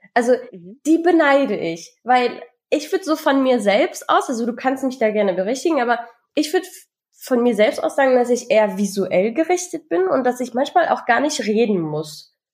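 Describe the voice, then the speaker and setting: Very wide pitch swings mark a woman's high-pitched voice, delivered at a moderate pace. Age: 20s. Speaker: podcast co-host. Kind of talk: casual chat.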